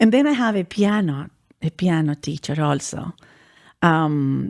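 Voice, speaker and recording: On a very clean recording with a silent background and a dry, close sound with no echo, a woman with a Spanish accent speaks at a fairly low pitch with lively intonation. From Chile. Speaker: vocalist and musician. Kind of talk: radio interview. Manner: halting, frequent repetitions.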